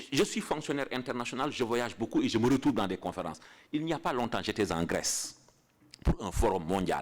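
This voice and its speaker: A man's pitch swings very widely, with vocal fry. He talks at a moderate pace. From Senegal. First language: Pulaar (Fula) (speaking French). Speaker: international civil servant giving a lecture. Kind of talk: lecture. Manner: halting, with repetitions.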